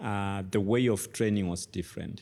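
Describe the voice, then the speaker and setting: In a very clean recording with a silent background, a man speaks in a very deep, low voice with fairly even intonation. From Kenya, Kitale. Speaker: tech educator and former lecturer. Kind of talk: interview.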